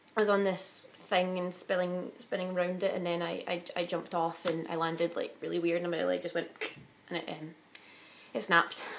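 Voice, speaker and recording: Noticeable background noise sits behind the speaker. The delivery is monotone and flat, in a Glaswegian accent. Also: woman, fairly low pitch for a woman, fairly quick pace. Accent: Glaswegian Scottish. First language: Italian. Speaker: vlogger. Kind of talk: casual chat.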